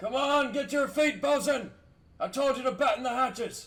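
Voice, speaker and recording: Speaking at a moderate speed, a man performs a put-on character voice pitched extremely high. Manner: barking commands.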